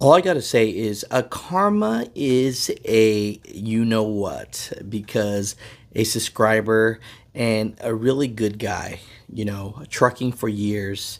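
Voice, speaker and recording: Against a quiet background, a man is speaking. He goes at a very slow pace and shows ordinary pitch variation. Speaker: trucking channel host. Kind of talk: casual vlog commentary. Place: car. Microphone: phone near.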